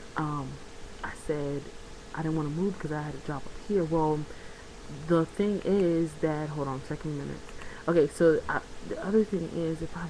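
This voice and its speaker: Quiet and at a very deep, low pitch, a woman speaks at a moderate pace with fairly even intonation over noticeable background noise. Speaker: vlogger. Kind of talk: casual vlog monologue. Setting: at home, bedroom. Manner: quieter.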